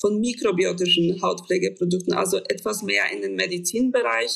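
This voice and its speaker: A woman with a Polish accent speaks at a moderate pace. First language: Polish (speaking German). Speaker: cosmetics developer and founder. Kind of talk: interview. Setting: video call.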